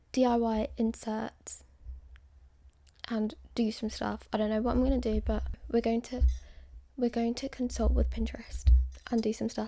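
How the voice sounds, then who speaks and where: A woman speaks with long, frequent pauses. Music plays in the background. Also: moderate pace. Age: 20s. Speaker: ASMR creator / vlogger. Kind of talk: casual talk to camera, ASMR-style vlog.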